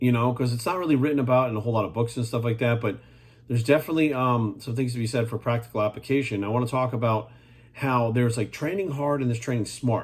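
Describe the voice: A man speaks at a fast pace at medium pitch, with ordinary pitch variation and a slightly mellow tone.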